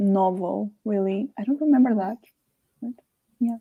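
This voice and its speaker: In a Portuguese accent, the dark, mellow voice moves at a moderate pace with a dry, close sound and no echo. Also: woman. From Portugal. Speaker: book club co-host. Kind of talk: casual chat.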